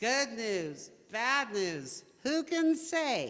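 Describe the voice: A woman uses a put-on character voice with very wide pitch swings.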